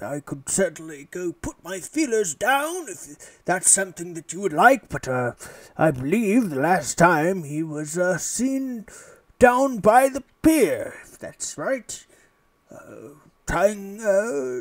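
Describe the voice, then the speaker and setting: In a very clean recording with a silent background, a man does a put-on character voice, high-pitched with very wide pitch swings. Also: fairly slow pace, big swings in loudness. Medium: actual play. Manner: rambling, old-fashioned politeness.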